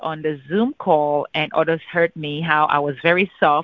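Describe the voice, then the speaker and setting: A woman talks in a normal speaking voice. Her pitch varies in an ordinary way. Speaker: insurance agent. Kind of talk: casual phone conversation. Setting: phone call.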